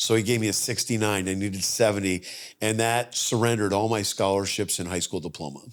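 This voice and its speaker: A man with an American accent, fairly low pitch and fairly even intonation at a very fast pace, on a very clean recording with a silent background. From upstate New York. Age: 60s. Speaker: mental math performer. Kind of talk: interview conversation.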